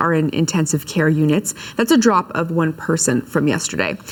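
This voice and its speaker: Fairly quick speech with ordinary pitch variation amid noticeable background noise. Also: woman. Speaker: TV news anchor. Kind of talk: TV news read.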